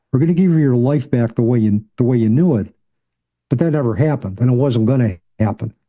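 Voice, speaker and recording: A man at medium pitch with ordinary pitch variation, moderate pace and a quiet background. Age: 60s. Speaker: grief expert and psychology professor. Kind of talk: interview. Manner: halting, with repeated words.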